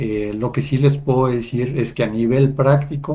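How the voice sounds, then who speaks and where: A somewhat breathy man's voice, dark and mellow, with fairly even intonation. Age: 60s. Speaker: psychologist and spiritual video host. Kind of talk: personal testimony monologue. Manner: hesitant with fillers.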